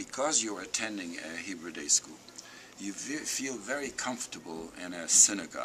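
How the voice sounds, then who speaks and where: A man speaks at a moderate pace with fairly low pitch, lively intonation and big swings in loudness. Noticeable background noise runs underneath. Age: 80s+. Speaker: Holocaust survivor speaker. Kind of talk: talk to school students.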